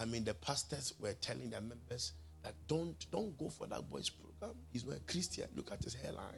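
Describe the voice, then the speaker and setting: At a moderate pace, a man with a fairly low pitch and vocal fry makes very wide pitch swings. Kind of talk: sermon. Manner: animated, emphatic preacher's delivery, addressing the congregation directly; storytelling with laughter and quoted voices in pidgin.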